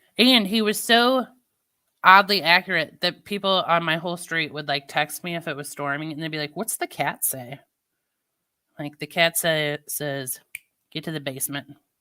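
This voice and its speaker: A woman with a fairly low pitch speaks at a moderate pace, her tone bright and sharp. Her intonation is lively, her loudness swings widely, and the recording is very clean with a silent background. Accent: slight St. Louis. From US Midwest, Missouri. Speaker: live streamer. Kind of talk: casual chat.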